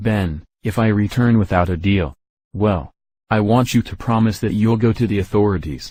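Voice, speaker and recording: In a very clean recording with a silent background, a man uses a put-on character voice at a fairly low pitch, moving at a moderate pace with ordinary pitch variation. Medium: machinima.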